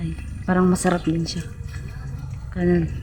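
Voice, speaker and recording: Speech from a woman amid audible room echo and noticeable background noise. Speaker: rural vlogger. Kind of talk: casual vlog talk to viewers. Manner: halting, many fillers.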